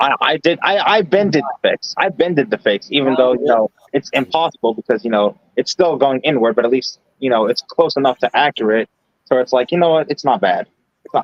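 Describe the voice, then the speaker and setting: Speaking at a fairly quick pace with an American accent, a man uses a normal speaking voice, fairly high in pitch, with lively intonation and very even loudness. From New York. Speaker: live streamer. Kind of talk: casual chat. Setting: live stream voice chat.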